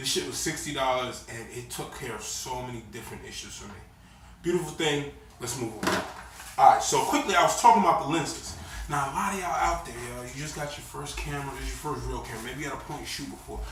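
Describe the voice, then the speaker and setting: The speech comes at a very fast pace with big swings in loudness. Noticeable background noise and audible room echo surround it. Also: man. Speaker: camera gear YouTuber. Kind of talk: casual gear tutorial. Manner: casual, slangy.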